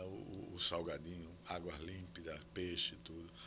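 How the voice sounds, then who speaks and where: A man with a very deep, low pitch and vocal fry speaks at a fairly slow pace in a bright, sharp tone, with audible room echo. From Brazil, Alagoas (São Miguel dos Campos). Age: 80s+. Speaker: historian and professor. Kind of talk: interview conversation.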